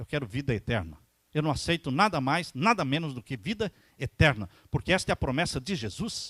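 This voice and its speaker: A man with a fairly high pitch, vocal fry, very wide pitch swings and a fairly quick pace, recorded very cleanly against a silent background with a dry, close sound and no echo. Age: 60s. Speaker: pastor. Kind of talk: sermon.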